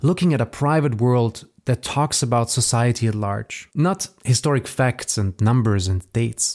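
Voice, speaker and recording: A male voice of medium pitch with a German accent and hardly any pauses, dry and close with no echo, in a very clean recording with a silent background. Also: ordinary pitch variation, moderate pace. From Austria; Vorarlberg, Austria. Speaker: podcast host, photo collector and publisher. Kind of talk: scripted podcast introduction.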